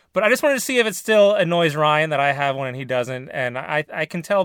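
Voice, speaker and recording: The voice has a General American accent and very wide pitch swings. It comes through on a very clean recording with a silent background. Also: man. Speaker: podcast host. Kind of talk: casual banter.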